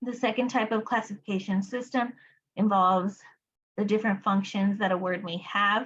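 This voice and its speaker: In a quiet background, a woman with a Spanish accent and medium pitch speaks at a moderate pace with fairly even intonation. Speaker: applied behavior analysis educator. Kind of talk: study group lecture. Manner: casual, many fillers.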